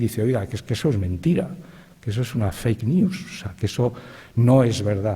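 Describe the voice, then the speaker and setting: Lively intonation runs through this man's speech. Noticeable background noise sits behind him. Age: 60s. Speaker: writer, panelist. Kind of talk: panel talk. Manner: halting, with fillers and repetitions.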